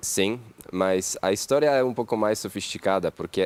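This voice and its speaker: This man has a Polish accent and a fairly low pitch with ordinary pitch variation. He speaks at a moderate pace in a dry, close sound with no echo. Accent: foreign accent in Portuguese (Polish). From Poland. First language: Polish (speaking Portuguese). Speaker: entrepreneur, company CEO. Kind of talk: talk show interview.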